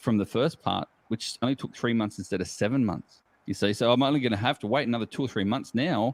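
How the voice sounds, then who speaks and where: A man with an Australian accent at a very fast pace, with ordinary pitch variation. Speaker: geocacher. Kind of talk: casual chat.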